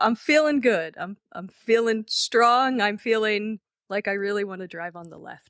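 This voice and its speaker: In a dry, close recording with no echo, a woman with an American accent speaks in a normal speaking voice, fairly high in pitch with ordinary pitch variation, at a moderate pace, her loudness swinging widely. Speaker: comedy writer and stand-up comedian. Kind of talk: casual interview.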